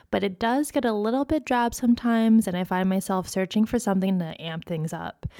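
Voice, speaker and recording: An unremarkable speaking voice in a General American accent, with ordinary pitch variation. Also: woman, very clean recording, silent background. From Phoenix, Arizona. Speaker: podcast co-host. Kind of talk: casual chat.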